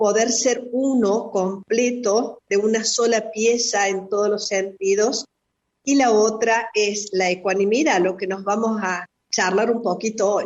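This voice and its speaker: She speaks at a fairly slow pace with a fairly high pitch. The woman has an ordinary speaking voice. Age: 50s. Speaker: spiritual therapist. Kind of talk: radio interview. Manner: reflective.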